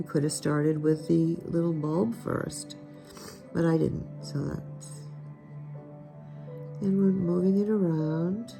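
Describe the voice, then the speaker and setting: Music plays in the background as a woman talks very slowly, with long, frequent pauses. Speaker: watercolor art teacher. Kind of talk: painting tutorial talk to camera.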